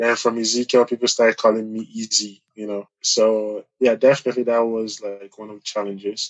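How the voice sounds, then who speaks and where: A man at medium pitch talks at a fairly quick pace with hardly any pauses, monotone, flat intonation and big swings in loudness. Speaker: student. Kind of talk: interview. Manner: halting.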